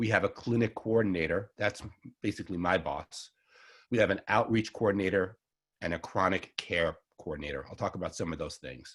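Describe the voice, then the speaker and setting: The recording is very clean with a silent background. A man with fairly low pitch speaks at a fairly quick pace with ordinary pitch variation. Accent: Long Island. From Long Island, New York. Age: 60s. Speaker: herbalist. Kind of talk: lecture. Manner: fast.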